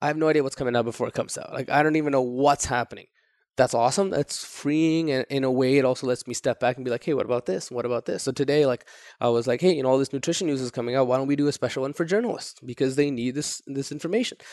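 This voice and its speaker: Over a quiet background, a man with a Toronto accent speaks at a very fast pace. His medium pitch shows ordinary pitch variation, and the sound is dry and close with no echo. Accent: Toronto, drops the second T. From grew up moving between Saudi Arabia, Japan and the US. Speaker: entrepreneur. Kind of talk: interview. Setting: in person in Toronto. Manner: casual.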